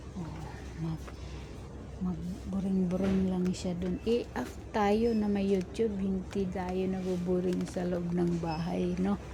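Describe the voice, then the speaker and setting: Very slowly, a woman speaks amid noticeable background noise and audible room echo. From Bicol region, Philippines. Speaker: domestic worker and vlogger. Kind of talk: casual vlog. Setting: shopping mall store. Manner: lowered voice.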